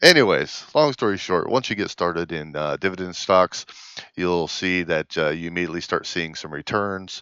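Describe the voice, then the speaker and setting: A man with a very deep, low pitch and vocal fry speaks at a moderate pace in a bright, sharp tone, recorded dry and close with no echo against a quiet background. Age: 40s. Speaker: finance vlogger. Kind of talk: casual vlog talk. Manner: halting, many fillers.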